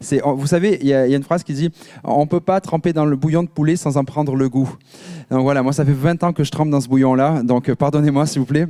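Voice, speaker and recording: A man's fairly high but dark, mellow voice at a fairly quick pace, in a dry, close sound with no echo. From France, Marseille. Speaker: pastor. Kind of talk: sermon. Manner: animated.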